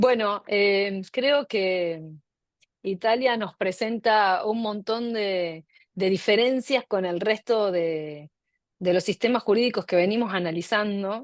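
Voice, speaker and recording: In a dry, close sound with no echo and a quiet background, a woman with an Argentine accent speaks at a very slow pace with ordinary pitch variation. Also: medium pitch for a woman. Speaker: law professor, seminar moderator. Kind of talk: academic discussion.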